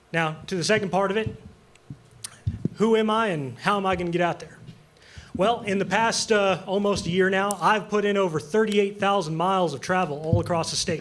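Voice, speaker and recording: A man with an American accent talks at a fairly quick pace, his pitch high with ordinary variation. Audible room echo surrounds his voice. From eastern Montana. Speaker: congressional candidate, farrier. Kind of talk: political debate. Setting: stage with audience.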